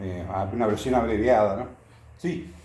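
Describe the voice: Strong room echo surrounds a man whose fairly low voice has a slightly mellow tone. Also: ordinary pitch variation, moderate pace.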